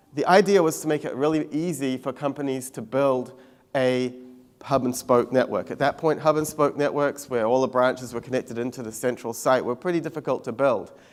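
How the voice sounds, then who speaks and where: A man speaks at a fairly quick pace with a New Zealand accent. The recording is very clean, with a silent background. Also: medium pitch for a man. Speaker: tech company CEO. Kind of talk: conference keynote talk. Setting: stage with audience.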